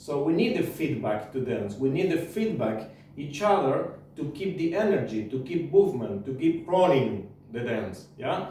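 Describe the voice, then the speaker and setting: Audible room echo and noticeable background noise surround a man speaking at a moderate pace with a non-native accent. His fairly high voice makes very wide pitch swings. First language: not English. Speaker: tango teacher. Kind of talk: tutorial. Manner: halting.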